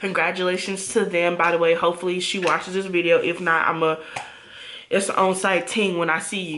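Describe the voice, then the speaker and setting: Noticeable background noise and audible room echo surround a woman speaking fairly quickly at a fairly low pitch. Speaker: storytime vlogger. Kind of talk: storytelling monologue. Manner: animated, varying pitch; casual, conversational.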